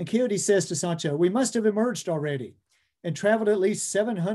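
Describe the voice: In a quiet setting, someone does plain reading aloud with ordinary pitch variation.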